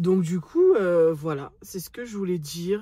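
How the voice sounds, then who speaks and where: A woman's dark, mellow tone at a fairly slow pace. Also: dry sound with no echo. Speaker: vlogger. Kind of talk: casual vlog chat. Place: car. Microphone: phone near.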